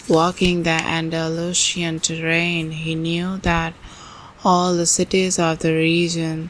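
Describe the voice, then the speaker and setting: Soft-spoken and flat, a woman talks at a fairly slow pace with a fairly low pitch and monotone intonation. Noticeable background noise runs behind her. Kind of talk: ASMR book reading.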